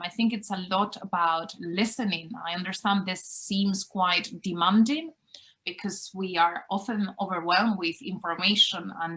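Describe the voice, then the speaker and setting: Speaking fairly slowly with a Spanish accent, a woman has a medium pitch and ordinary pitch variation. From Spain. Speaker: university lecturer. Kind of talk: interview.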